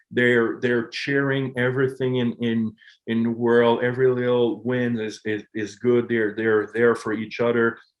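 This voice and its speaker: With a Quebec accent, a man speaks at medium pitch and a fairly slow pace. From Quebec, Montreal. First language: French. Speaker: hockey coach. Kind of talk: interview. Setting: podcast.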